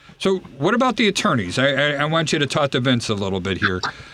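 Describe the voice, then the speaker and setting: Vocal fry runs through a man's bright, sharp tone as he speaks at a fairly quick pace with very wide pitch swings. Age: 30s. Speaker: radio host and home inspector. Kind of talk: radio talk show. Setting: studio.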